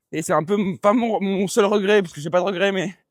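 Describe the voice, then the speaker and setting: A man with a high pitch races along at a very fast pace in a very clean recording with a silent background. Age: 20s. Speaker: podcast co-host. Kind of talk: casual chat. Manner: halting.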